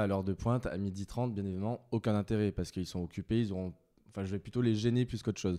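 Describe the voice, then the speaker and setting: Talking at a very fast pace, a man has a dark, mellow tone and fairly even intonation. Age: 30s. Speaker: HR director. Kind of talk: interview. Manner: hesitant, frequent filler words.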